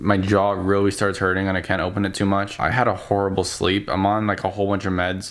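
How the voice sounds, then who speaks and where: A man with a fairly low voice talks at a fairly quick pace against a quiet background. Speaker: vlogger. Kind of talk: casual vlog chat. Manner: swollen-jaw, restricted mouth, weary speech. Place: home room. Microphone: phone near.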